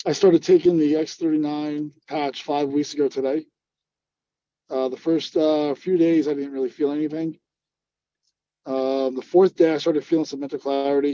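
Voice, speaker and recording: Long, frequent pauses in a man's fairly high, dark, mellow voice, flat and monotone in intonation. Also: moderate pace, dry, close sound with no echo. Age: 40s. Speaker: police officer and army veteran. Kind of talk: product testimonial interview.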